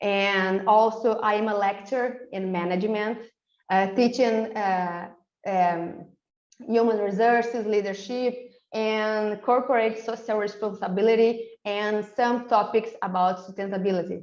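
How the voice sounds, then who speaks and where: With a Brazilian Portuguese accent, a woman speaks at a fairly high pitch and a fairly slow pace, her intonation fairly even. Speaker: PhD researcher and lecturer. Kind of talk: webinar presentation. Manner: halting, many fillers.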